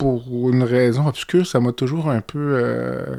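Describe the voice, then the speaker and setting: A man speaks at medium pitch with ordinary pitch variation. The recording is dry and close, with no echo. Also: very clean recording, silent background. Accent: Quebec. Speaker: podcast host and physician. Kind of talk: interview.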